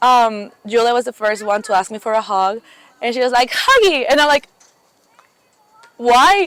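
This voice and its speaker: A Mexican accent at a moderate pace, with long, frequent pauses, ordinary pitch variation, and a dry, close sound with no echo. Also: woman, high pitch for a woman. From Mexico. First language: Spanish. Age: 20s. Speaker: camp counselor. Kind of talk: casual interview chat. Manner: hesitant, many fillers.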